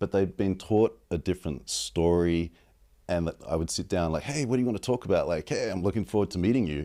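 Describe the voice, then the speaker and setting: On a very clean recording with a silent background, a man with an Australian accent speaks very fast with lively intonation in a very deep, low, dark and mellow voice. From Australia, Sydney. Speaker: advertising strategist. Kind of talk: casual interview.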